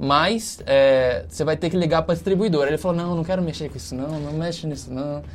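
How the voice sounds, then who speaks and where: Noticeable background noise sits under speech at a fairly quick pace with hardly any pauses. The pitch varies in an ordinary way. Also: man, fairly high pitch for a man. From Brazil, Rio de Janeiro state (Volta Redonda). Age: 20s. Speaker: startup CEO. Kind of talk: casual interview. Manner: casual, filler-heavy.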